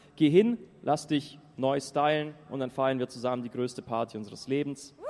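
Medium pitch from a male speaker, with noticeable noise in the background. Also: ordinary pitch variation, moderate pace. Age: 20s. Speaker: youth pilgrim speaker. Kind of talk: testimony talk to audience. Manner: casual, lively.

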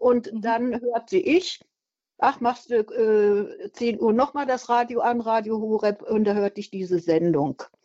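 At a fairly slow pace, a woman speaks with a fairly high pitch, a dark, mellow tone and lively intonation. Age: 70s. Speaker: caller, retired nurse. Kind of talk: radio call-in.

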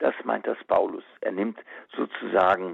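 A man is speaking. His pace is very slow. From Germany, western Münsterland. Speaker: auxiliary bishop. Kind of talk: radio interview. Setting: phone call.

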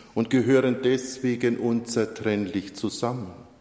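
The speech moves at a very slow pace. Noticeable background noise sits behind it. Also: man. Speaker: preacher. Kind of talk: sermon. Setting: church. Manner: formal; measured, earnest delivery.

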